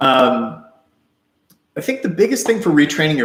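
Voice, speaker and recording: Somewhat breathy, this man's voice comes through. His pitch sits in the medium range. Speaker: author and live stream host. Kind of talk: live stream Q&A. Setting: live stream. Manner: fast; casual, hesitant with fillers.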